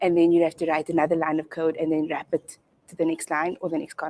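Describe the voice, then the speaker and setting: A woman's fairly low, fairly quick voice in a dry, close sound with no echo. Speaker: conference speaker, Android developer. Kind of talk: tech talk. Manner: soft-spoken.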